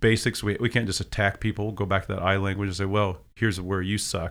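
This man has a plain, everyday voice, fairly low in pitch, moving at a fairly quick pace on a very clean recording with a silent background. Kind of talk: casual chat.

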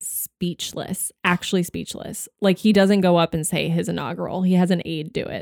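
A woman with an American accent and an ordinary speaking voice, medium in pitch, at a moderate pace, in a dry, close sound with no echo and a very clean recording over a silent background. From Texas, Austin. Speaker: podcast co-host. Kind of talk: casual chat.

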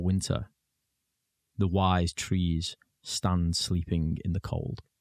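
In a British accent, a man speaks very slowly at a very deep, low pitch. The recording is very clean and dry, close with no echo and a silent background. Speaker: charity staff member reading poetry. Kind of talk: unhurried reading aloud of a short, still winter poem. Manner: slow, hushed and measured, letting each image settle.

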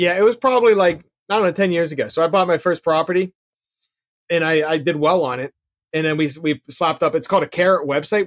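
A man with a Pittsburgh accent talks at a very fast pace in a fairly high pitch. The sound is dry and close, with no echo. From Pittsburgh, Pennsylvania. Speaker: real estate investor and marketer. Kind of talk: interview, casual chat.

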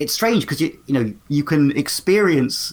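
With a British accent, someone speaks at a moderate speed. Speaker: podcaster and TV fan. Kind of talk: casual interview chat.

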